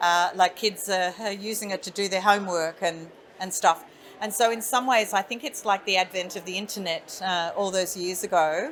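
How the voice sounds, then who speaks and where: A woman speaks with an Australian accent at a medium pitch. Her pace is moderate and her intonation fairly even. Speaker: industry association chief executive. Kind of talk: interview. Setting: conference event.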